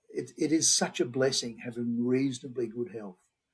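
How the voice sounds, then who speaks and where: A man with a medium pitch speaks in an Australian accent, sounding somewhat breathy. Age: 70s. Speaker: homeopath. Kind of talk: interview.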